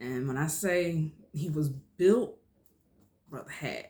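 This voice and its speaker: Somewhat breathy, a woman speaks in a very deep, low pitch with an animated tone and ordinary pitch variation. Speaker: vlogger. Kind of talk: personal storytelling.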